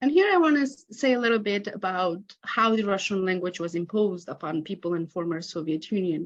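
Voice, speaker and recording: A woman with a Romanian accent talks at a fairly quick pace with hardly any pauses. Her voice sits at a medium pitch, with lively intonation. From Moldova. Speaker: academic researcher. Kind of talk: conference talk. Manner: reading from a prepared script.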